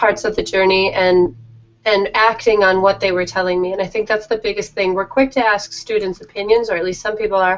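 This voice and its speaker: With fairly even intonation, a woman talks at a fairly quick pace over noticeable background noise. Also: medium pitch for a woman. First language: Danish. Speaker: teacher and author. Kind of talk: interview.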